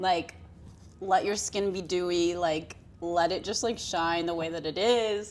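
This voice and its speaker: A woman speaks at a fairly slow pace in a fairly low voice. Music plays in the background. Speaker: podcast co-host. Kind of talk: casual chat. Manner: loud; animated.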